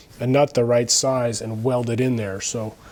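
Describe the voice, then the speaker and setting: Dark and mellow in tone, he speaks. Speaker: car restoration hobbyist. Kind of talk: casual tutorial vlog.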